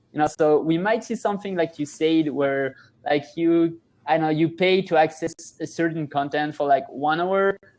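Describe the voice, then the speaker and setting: A man with a French accent, fairly even intonation and a moderate pace, over a quiet background. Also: fairly high pitch for a man. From France. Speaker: startup founder. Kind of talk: podcast interview. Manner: halting, many fillers and restarts.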